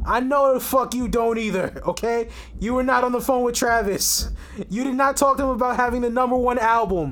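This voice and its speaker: An extremely high-pitched man's voice in a New York accent, at a moderate pace. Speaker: podcast co-host. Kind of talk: casual chat. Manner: animated.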